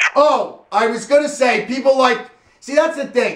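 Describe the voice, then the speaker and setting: A loud, animated man at a moderate pace. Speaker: radio show host. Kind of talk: casual phone-in chat.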